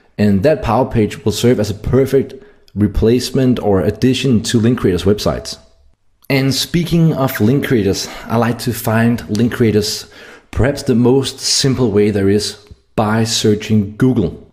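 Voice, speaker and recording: A man speaks with a Danish accent in a somewhat breathy voice. His loudness stays very even. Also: medium pitch for a man, ordinary pitch variation, moderate pace. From Denmark. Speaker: SEO marketer. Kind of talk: tutorial.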